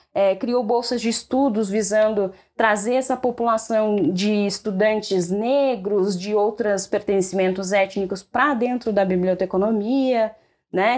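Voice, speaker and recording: A woman's ordinary speaking voice, fairly high in pitch with ordinary pitch variation, at a fairly slow pace on a very clean recording with a silent background. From Rio Grande do Sul, Brazil. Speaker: librarian and doctoral researcher. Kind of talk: casual podcast interview.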